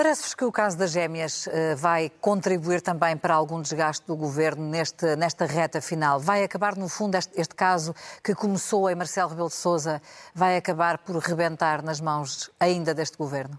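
A woman speaks in an unremarkable speaking voice at a moderate pace, pitched fairly low. Her intonation stays fairly even against a quiet background. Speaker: radio news podcast host. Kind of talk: moderated news panel discussion.

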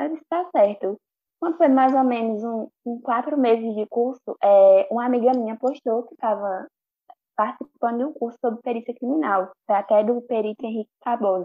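Using a normal speaking voice, a woman speaks at a moderate pace in a fairly high pitch, with ordinary pitch variation and big swings in loudness. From Pernambuco, Brazil (Bezerros). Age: 20s. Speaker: student and social media creator. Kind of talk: casual chat.

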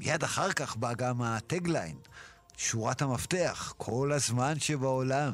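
Music plays in the background as a man talks at a very slow pace. His loudness stays very even. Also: medium pitch for a man, ordinary pitch variation. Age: 60s. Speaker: songwriter. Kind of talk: interview. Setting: studio.

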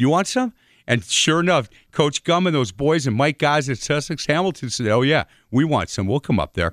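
A man with a fairly high pitch and an American accent, lively intonation, vocal fry, very even loudness and a moderate pace, in a dry, close sound with no echo on a very clean recording with a silent background. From Milwaukee, Wisconsin (US Upper Midwest). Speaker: sports radio host. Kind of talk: casual interview.

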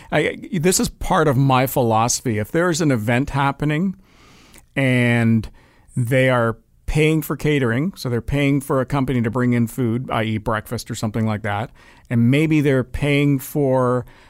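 In a very clean recording with a silent background, a man with a Canadian accent and a normal speaking voice talks at a moderate pace with ordinary pitch variation. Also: medium pitch for a man. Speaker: radio host. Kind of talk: casual chat.

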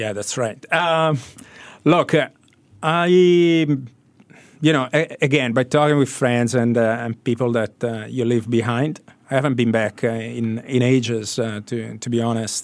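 A man talks at a fairly slow pace, his pitch shifting in an ordinary way. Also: medium pitch for a man. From Italy. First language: Italian. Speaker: sports media executive. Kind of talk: radio interview. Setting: radio studio. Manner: halting, many fillers.

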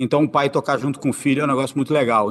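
A man's voice with a fairly high pitch. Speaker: investment executive. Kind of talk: interview.

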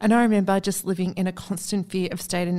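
A woman speaks with an Australian accent and fairly even intonation. The recording is very clean, with a silent background. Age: 40s. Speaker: podcast host. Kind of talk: casual interview chat. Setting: podcast studio.

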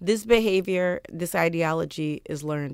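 At a moderate pace, a woman speaks with an American accent. The recording is very clean, with a silent background. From US Deep South. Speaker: journalist. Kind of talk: interview.

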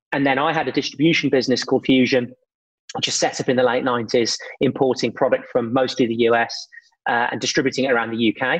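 At a very fast pace, a man speaks at medium pitch with fairly even intonation. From English Midlands, Birmingham. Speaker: entrepreneur, brand co-founder. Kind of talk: interview conversation.

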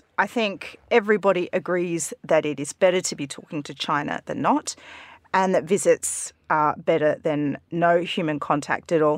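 A woman's fairly low voice in an Australian accent, with lively intonation, a moderate pace and a dry, close sound with no echo. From rural Australia. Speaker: journalist. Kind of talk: news discussion. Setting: studio.

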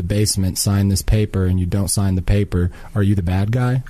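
A man with a dark, mellow tone speaks at a moderate pace in a fairly low pitch, his intonation fairly even. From United States, born in Libya. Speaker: Palestinian community activist. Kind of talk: radio interview. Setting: radio studio.

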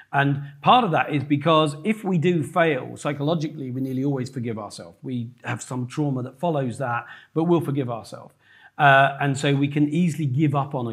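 Somewhat breathy and fairly high in pitch, a man speaks at a fairly quick pace with ordinary pitch variation and big swings in loudness. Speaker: host of a business event.

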